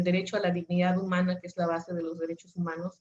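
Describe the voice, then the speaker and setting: A woman speaks with a Mexican accent at a medium pitch. Her voice is somewhat breathy. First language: Nahuatl (speaking Spanish). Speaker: lawyer and webinar speaker. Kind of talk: webinar presentation. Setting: online webinar. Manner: hesitant, many filler sounds.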